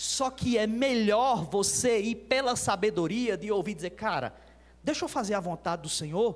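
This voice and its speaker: Man with a high pitch, an animated tone and lively intonation at a moderate pace. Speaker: pastor. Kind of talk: sermon.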